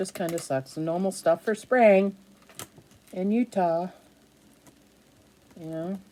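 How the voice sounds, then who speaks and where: A woman with a slight New England accent talks at a fairly slow pace and medium pitch, with ordinary pitch variation. Her long pauses come often, and there is noticeable background noise. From New Hampshire. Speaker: craft vlogger. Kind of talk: casual chat. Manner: chatty.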